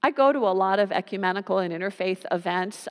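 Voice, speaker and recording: An unremarkable speaking voice from a woman, medium in pitch with fairly even intonation, at a fairly quick pace, in a dry, close sound with no echo. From US (California and New Jersey). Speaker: pastor. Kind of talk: sermon.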